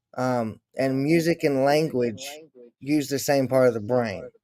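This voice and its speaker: A man's dark, mellow tone comes through at a fairly slow pace. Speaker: retired army veteran and musician. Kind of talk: casual chat.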